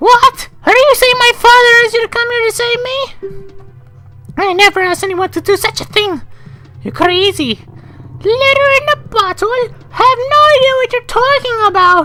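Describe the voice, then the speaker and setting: A raspy, female-sounding put-on character voice at an extremely high pitch, moderate pace, clear music in the background. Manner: defensive, denying.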